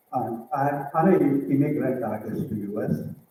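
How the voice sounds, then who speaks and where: A man is speaking. Some room echo can be heard. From southern India. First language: a southern Indian language. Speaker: visual artist. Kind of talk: presentation. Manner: halting, many fillers.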